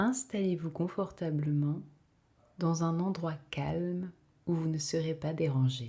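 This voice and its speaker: A woman speaks at a very slow pace, with long, frequent pauses and a fairly low pitch. Her tone is dark and mellow, somewhat breathy, with ordinary pitch variation. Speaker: meditation guide. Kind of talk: guided meditation. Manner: slow, calm.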